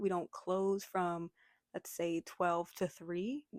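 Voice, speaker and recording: A woman with an American accent speaks very slowly at a fairly low pitch, in a dry, close sound with no echo, on a very clean recording with a silent background. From United States. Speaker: vlogger. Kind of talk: casual vlog talk.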